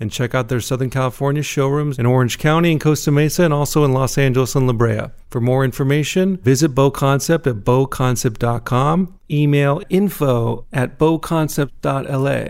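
A man with an unremarkable speaking voice talks at a moderate pace. His pitch is fairly high, with ordinary pitch variation. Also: hardly any pauses, very clean recording, silent background. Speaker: podcast host. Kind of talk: interview.

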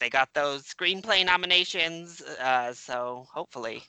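This man uses a normal speaking voice, pitched fairly high, and keeps a moderate pace. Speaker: movie podcaster. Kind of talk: casual chat.

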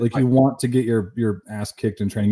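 The recording is very clean, with a silent background. A man speaks at a medium pitch in a dark, mellow tone. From Canada. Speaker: entrepreneur and former professional fighter. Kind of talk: casual interview.

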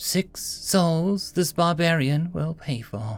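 A man puts on a high-pitched character voice at a very slow pace, with ordinary pitch variation and audible hissing. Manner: hissing, menacing.

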